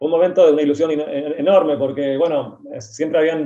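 At a moderate pace, a man with a fairly high pitch talks in an ordinary speaking voice. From Argentina. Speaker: writer. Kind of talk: interview.

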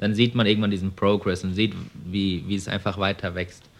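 Fairly even intonation at a fairly quick pace, in an unremarkable speaking voice. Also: man. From Germany, Frankfurt am Main. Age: 20s. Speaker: young entrepreneur, car dealer. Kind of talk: interview. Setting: showroom.

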